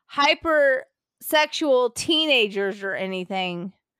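A woman's raised, projected voice, bright and sharp in tone, with lively intonation and a very slow pace, in a dry, close sound with no echo. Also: very clean recording, silent background. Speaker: podcast host, author. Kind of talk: casual chat.

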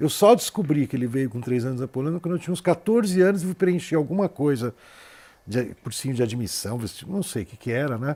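The speaker has a dark, mellow tone and talks at a fairly quick pace. The pitch swings very widely. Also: man, fairly high pitch for a man. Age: 60s. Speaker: TV show host. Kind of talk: TV interview. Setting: studio.

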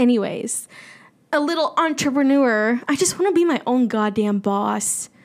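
A woman's high-pitched voice carries an animated tone. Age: 20s. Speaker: independent podcaster. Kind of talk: casual solo monologue. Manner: animated, frequent laughter.

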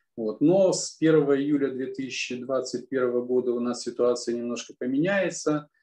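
A man's medium-pitched voice with a dark, mellow tone, a very slow pace, ordinary pitch variation and hardly any pauses. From Kazakhstan. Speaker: law professor. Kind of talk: expert interview.

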